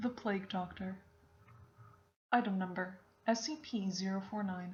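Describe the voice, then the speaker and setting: Soft-spoken and somewhat breathy, a woman at a medium pitch talks at a fairly slow pace with fairly even intonation. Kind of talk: ASMR reading of a wiki article.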